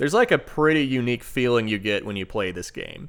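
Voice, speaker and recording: In a very clean recording with a silent background, a man with an unremarkable speaking voice uses a medium pitch and lively intonation. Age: 30s. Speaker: video game reviewer. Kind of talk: scripted review narration. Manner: casual.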